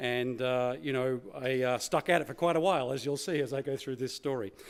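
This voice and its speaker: Talking at a fairly quick pace with an Australian accent, a man keeps a medium pitch and ordinary pitch variation. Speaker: keynote speaker, former corporate manager. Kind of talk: conference keynote speech. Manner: hesitant, many fillers.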